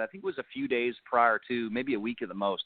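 A man in an Ontario accent, with very wide pitch swings at a very fast pace. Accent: Canadian (Ontario). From Niagara Falls, Ontario, Canada. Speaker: country singer. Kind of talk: casual interview chat.

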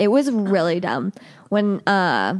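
With a Northeast Ohio accent and ordinary pitch variation, the voice comes through a very clean recording with a silent background. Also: woman. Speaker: podcast co-host. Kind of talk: casual chat.

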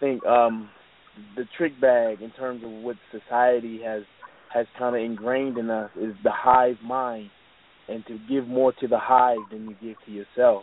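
The speech moves at a fairly slow pace with big swings in loudness, over noticeable background noise. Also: man, medium pitch for a man. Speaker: podcast co-host. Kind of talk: casual chat. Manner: laid-back; animated.

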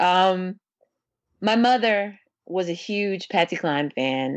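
Here is a woman with an American accent and an ordinary speaking voice. Her pitch is fairly low and her intonation is lively. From St. Louis, Missouri. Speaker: singer-songwriter. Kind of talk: interview.

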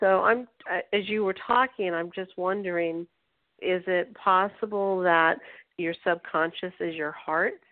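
Fairly slow and fairly even in intonation, a woman talks at a medium pitch. She has a plain, everyday voice. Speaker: radio host. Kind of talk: interview.

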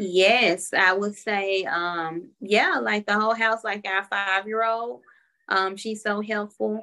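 A woman in a Southern US accent speaks at a very slow pace and a medium pitch, her tone bright and sharp and her intonation fairly even. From Memphis, Tennessee. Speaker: stay-at-home mother and family caregiver. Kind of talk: interview. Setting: at home with her mother-in-law.

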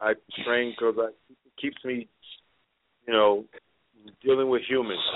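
With monotone, flat intonation, a man speaks at a medium pitch and moderate pace, taking long, frequent pauses. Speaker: martial artist and fight trainer. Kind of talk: casual chat.

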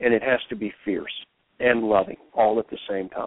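A man's medium-pitched, normal speaking voice at a moderate pace with fairly even intonation. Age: 50s. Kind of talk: interview.

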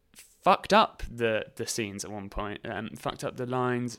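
A man with a southern English accent speaks at a medium pitch and a moderate pace, his intonation fairly even, on a very clean recording with a silent background. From southern England, Reading and High Wycombe area. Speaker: actor, writer and theatre company founder. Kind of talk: casual interview chat.

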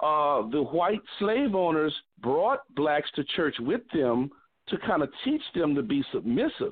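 Here is a man with a fairly high pitch and an ordinary speaking voice. He talks at a fairly slow pace with lively intonation and very even loudness. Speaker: association leader. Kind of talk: group discussion comment.

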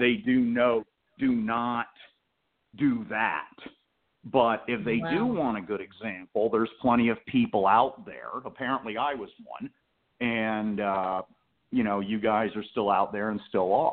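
This man talks at a fairly slow pace and medium pitch. His intonation stays fairly even. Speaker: caller, veteran in the community. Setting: phone.

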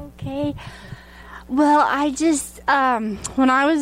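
A woman with a Southern US accent and ordinary pitch variation. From Arkansas. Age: 40s. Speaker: prophetic dancer. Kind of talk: interview testimony.

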